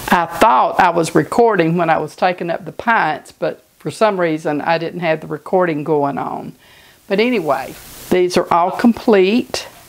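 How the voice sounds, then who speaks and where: A woman speaks at a moderate pace with a fairly low pitch. Noticeable background noise is present. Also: ordinary pitch variation. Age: 60s. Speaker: home cooking channel host. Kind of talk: cooking tutorial. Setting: home kitchen. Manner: casual, conversational.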